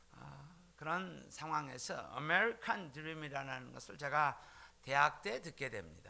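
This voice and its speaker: A man's fairly high, bright, sharp voice with vocal fry, ordinary pitch variation and big swings in loudness. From South Korea, Jeolla region. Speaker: pastor. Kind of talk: sermon. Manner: frequent filler hesitations.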